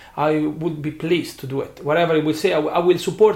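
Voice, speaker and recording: A somewhat breathy man with an Italian accent, fairly high pitch and a fairly quick pace. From Italy. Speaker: bartender, spirits brand ambassador. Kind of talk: interview. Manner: halting.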